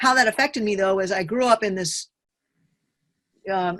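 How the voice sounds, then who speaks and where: A woman with an unremarkable speaking voice, medium pitch and ordinary pitch variation, over a quiet background. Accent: American. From US South, Nashville, Tennessee. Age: 60s. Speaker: author. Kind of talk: interview.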